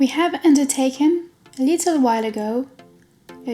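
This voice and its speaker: Music plays in the background. A high-pitched woman speaks at a moderate pace. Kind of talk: travel vlog voice-over narration.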